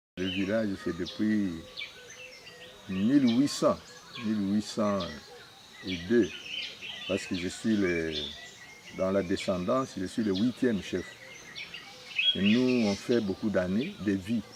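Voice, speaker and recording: Over noticeable background noise, a man with a fairly low pitch and ordinary pitch variation speaks at a very slow pace, leaving long, frequent pauses. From DR Congo, Sankuru. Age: 70s. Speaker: customary chief. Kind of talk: interview.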